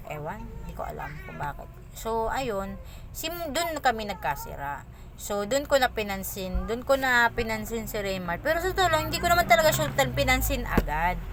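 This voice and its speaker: Noticeable background noise sits behind a woman whose loudness swings widely. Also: moderate pace. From Philippines, Bicol. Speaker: vlogger. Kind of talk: personal storytelling. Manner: halting, many fillers.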